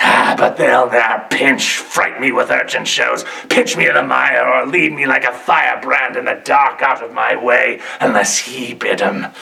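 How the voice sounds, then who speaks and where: Speaking at a moderate pace, a man puts on a character voice. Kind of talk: theatrical monologue. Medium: stage. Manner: bitter, cursing.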